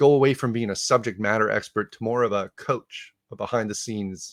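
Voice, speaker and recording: Recorded dry and close with no echo on a very clean track with a silent background, a man with a slight Canadian accent speaks with ordinary pitch variation. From Canada, Ottawa. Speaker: conference speaker on leadership. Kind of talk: conference talk. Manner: casual, with frequent 'uh' fillers and restarts.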